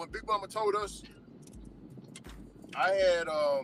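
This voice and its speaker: A raised, projected male voice, high in pitch, at a fairly slow pace with long, frequent pauses and ordinary pitch variation. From US South, the Carolinas. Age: 30s. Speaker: delivery driver and livestreamer. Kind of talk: casual chat. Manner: animated.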